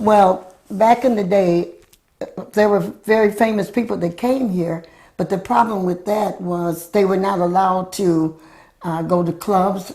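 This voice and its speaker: A woman's dark, mellow tone at a medium pitch, fairly slow and with fairly even intonation. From US Midwest (Michigan). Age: 80s+. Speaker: local elder sharing community history. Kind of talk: interview.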